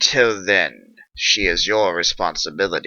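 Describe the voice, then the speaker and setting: A man puts on a raspy, growling character voice. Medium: read story.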